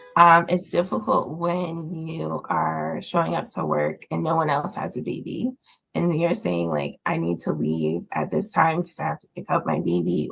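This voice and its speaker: A woman's raspy, put-on character voice at a moderate pace. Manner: heartfelt, earnest.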